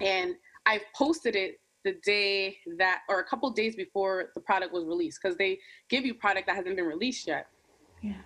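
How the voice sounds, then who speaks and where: A woman talks at a fairly quick pace with a medium pitch and ordinary pitch variation. It is a normal speaking voice. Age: 20s. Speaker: YouTube creator. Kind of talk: casual chat.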